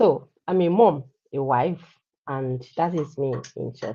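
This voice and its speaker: A woman speaks in a Nigerian accent with a dark, mellow tone. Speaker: healthcare worker, digital entrepreneur. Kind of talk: personal testimony. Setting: live stream.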